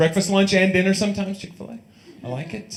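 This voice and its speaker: Amid noticeable background noise and audible room echo, a man with an American accent talks at a very fast pace. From Tennessee. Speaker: stand-up comedian. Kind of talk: stand-up. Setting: stage with audience.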